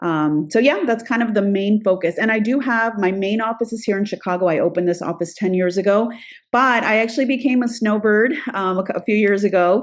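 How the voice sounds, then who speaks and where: A woman's normal speaking voice at medium pitch, fairly quick pace, and ordinary pitch variation, over a quiet background. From Florida, US (born in Peru). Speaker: immigration attorney. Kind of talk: interview.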